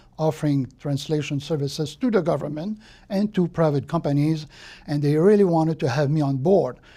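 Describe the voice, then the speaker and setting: This very clean recording with a silent background features a speaker with a Quebec accent. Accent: French-Canadian accent in English. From Quebec, Trois-Rivières. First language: French. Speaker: retired translator and volunteer. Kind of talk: life story interview. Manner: hesitant, with fillers.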